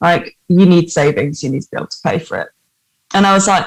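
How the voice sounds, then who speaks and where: In a northern English accent, a woman speaks with an animated tone. Her pace is fairly quick. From northern England. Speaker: actor-musician. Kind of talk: casual interview chat.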